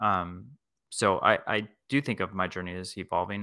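On a very clean recording with a silent background, a man speaks in a very deep, low pitch with a bright, sharp tone. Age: 40s. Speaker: middle school assistant principal. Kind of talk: interview.

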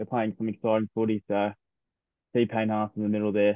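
With an Australian accent, a man talks at a fairly quick pace in a fairly low pitch and a monotone, flat intonation. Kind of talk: casual sports chat. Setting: remote recording.

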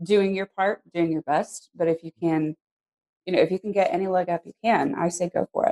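A woman's medium-pitched voice in an American accent at a fairly quick pace, with a dry, close sound and no echo. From Arizona, US Southwest. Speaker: actor. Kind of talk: casual interview chat.

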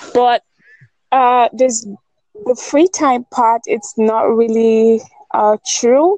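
A woman's high-pitched voice, dark and mellow in tone, with lively intonation, very even loudness, a very slow pace, long and frequent pauses, and a dry, close sound with no echo. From Nigeria. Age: 20s. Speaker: writer. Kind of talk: casual chat.

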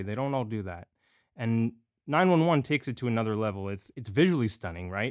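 Using lively intonation, a man speaks in a normal speaking voice at a medium pitch. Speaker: podcast host. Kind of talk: interview.

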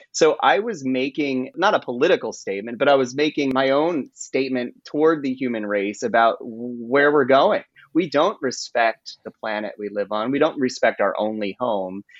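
A man with an American accent speaks at a moderate pace and medium pitch in an ordinary speaking voice with lively intonation. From rural US. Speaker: author. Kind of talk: interview.

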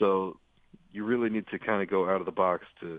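A man's fairly low, flat monotone at a moderate pace. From United States. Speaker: sports reporter and author. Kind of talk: interview.

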